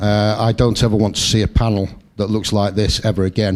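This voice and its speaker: Using a Sheffield accent, a man talks in a monotone, flat intonation at a fairly low pitch. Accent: Sheffield accent, kept. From northern England, Sheffield. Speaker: political candidate. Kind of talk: campaign speech. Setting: hustings in a meeting hall.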